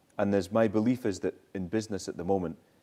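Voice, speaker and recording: Speaking at a fairly quick pace, a man with a Scottish accent has a fairly low pitch and a dark, mellow tone. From Scottish island. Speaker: social entrepreneur, former consultant. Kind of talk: talk with Q&A at university event.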